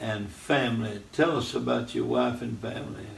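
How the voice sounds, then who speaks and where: A man with a Southern US accent, amid noticeable background noise and audible room echo. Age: 80s+. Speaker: radio host, preacher. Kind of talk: casual interview.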